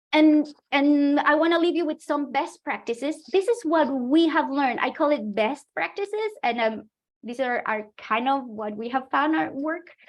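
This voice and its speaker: Lively intonation from a woman with a high-pitched voice. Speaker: astronomy outreach practitioner. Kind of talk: webinar presentation. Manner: fast.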